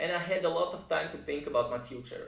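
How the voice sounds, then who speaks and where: This is a man speaking. Room echo is audible in the recording. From Israel, moved from Russia at age five. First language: Russian. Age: 30s. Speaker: music producer and composer. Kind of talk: personal introduction vlog. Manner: hesitant, frequent uh fillers.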